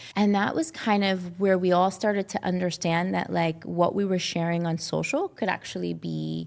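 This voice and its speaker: Speaking with an American accent at a fairly quick pace, a woman is heard on a very clean recording with a silent background. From Brooklyn, New York. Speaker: actress and beauty brand founder. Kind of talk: interview conversation.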